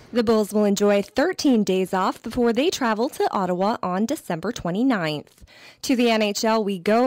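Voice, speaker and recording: A woman with an unremarkable speaking voice talks at a fairly high pitch and moderate pace, with ordinary pitch variation. The recording is very clean, with a silent background. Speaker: sports radio reporter. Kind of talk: radio sportscast.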